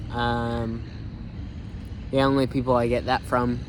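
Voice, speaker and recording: Audible room echo is present. Through it comes a man's voice. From United States. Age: 19. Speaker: vlogger. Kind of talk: casual vlog monologue. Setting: outdoors in a park. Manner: halting, many fillers and self-corrections.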